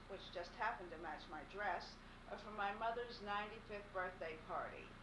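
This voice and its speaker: A woman with an American accent and an unremarkable speaking voice, medium in pitch, at a moderate pace with fairly even intonation. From Pittsburgh, Pennsylvania. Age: 60s. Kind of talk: recorded farewell message read to camera.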